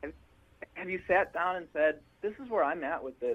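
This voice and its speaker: Speaking with an Upper Midwest accent, a man keeps to a moderate pace. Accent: Upper Midwest American. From Milwaukee, Wisconsin. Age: 20s. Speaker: funk band musician. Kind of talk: interview.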